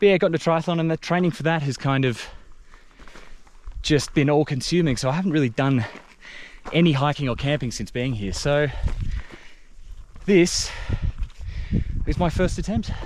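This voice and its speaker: A man with an Australian accent, fairly high-pitched, at a moderate pace with ordinary pitch variation and long, frequent pauses. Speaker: hiking vlogger. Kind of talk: casual vlog talk to camera. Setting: outdoors on a mountain hike.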